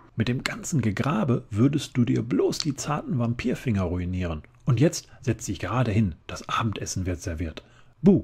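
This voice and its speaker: Somewhat breathy, a man's voice swings very widely in pitch. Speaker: ASMR reader. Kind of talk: bedtime story reading aloud, ASMR. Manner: soft, slow, gentle whisper-like narration.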